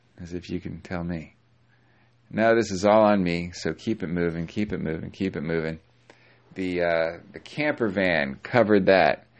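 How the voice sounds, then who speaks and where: The speaker is a man with a very deep, low pitch. He moves at a moderate pace with ordinary pitch variation. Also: big swings in loudness. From US, moved around a lot. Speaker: podcaster and actor. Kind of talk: solo reflective monologue. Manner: hesitant, many fillers and restarts.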